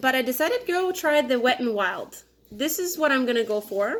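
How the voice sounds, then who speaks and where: A woman talks at a moderate pace in a high pitch. Her pitch swings very widely. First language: French. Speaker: beauty vlogger. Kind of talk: casual talk to camera.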